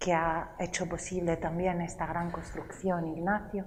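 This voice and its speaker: A woman talks at a medium pitch. Audible room echo and noticeable background noise fill the recording. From Italy, Rome. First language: Italian (speaking Spanish). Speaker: lecturer and storyteller. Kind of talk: cultural talk to a live audience.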